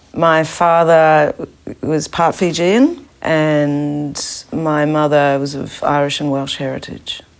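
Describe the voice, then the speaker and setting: Very slow speech with fairly even intonation over noticeable background noise. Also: woman, very deep, low pitch for a woman. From New Zealand, South Island. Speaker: soul singer. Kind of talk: documentary interview.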